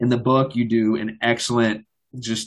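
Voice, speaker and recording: A man talks at a medium pitch and a fairly slow pace, in a plain, everyday voice. His intonation stays fairly even over a quiet background. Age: 20s. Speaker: podcast host. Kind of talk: interview.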